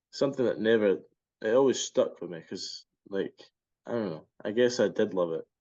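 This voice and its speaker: At a moderate pace, a man speaks at medium pitch with ordinary pitch variation and big swings in loudness. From Scotland. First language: Spanish. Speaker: baseball player. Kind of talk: interview. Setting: podcast.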